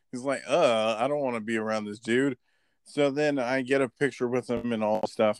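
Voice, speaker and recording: A man with an American accent talks at a fairly quick pace in an ordinary speaking voice, his pitch medium and his intonation fairly even. The recording is very clean with a silent background, and the sound is dry and close with no echo. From Florida or California, US. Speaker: wrestling podcast host. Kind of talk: casual chat.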